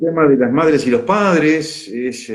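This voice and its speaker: In an Argentine accent, a man talks at a very slow pace with very wide pitch swings. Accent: Rioplatense Argentine Spanish. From Argentina, Mar del Plata. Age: 70s. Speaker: retired pediatrician and holistic coach. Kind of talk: casual live chat. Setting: live video stream. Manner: halting, many fillers.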